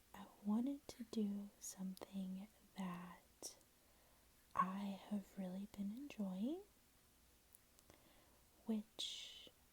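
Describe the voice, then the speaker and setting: A soft-spoken woman talks very slowly at a medium pitch. Her voice is somewhat breathy, with fairly even intonation. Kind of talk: casual talk to camera. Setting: home, ASMR-style recording.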